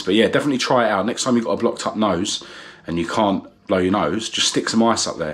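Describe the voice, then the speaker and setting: The intonation stays fairly even. There is noticeable background noise throughout. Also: man. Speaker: vlogger. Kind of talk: casual vlog talk to camera. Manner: hesitant, many fillers.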